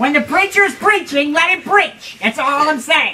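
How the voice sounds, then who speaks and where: This is a cartoonish character voice. Its pitch is high. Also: moderate pace. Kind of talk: comic overacting. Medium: puppet show.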